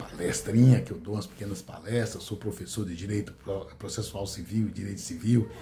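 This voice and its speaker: A man's dark, mellow, somewhat breathy voice at a fairly low pitch, with audible room echo. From rural Brazil. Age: 60s. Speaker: law professor and content creator. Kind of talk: casual monologue to camera. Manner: hesitant, with fillers.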